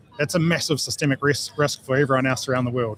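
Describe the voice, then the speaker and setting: A man speaks at a medium pitch. He has a New Zealand accent. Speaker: geopolitical and security consultant, former army officer. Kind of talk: radio interview. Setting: live broadcast at field days. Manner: hesitant with many fillers.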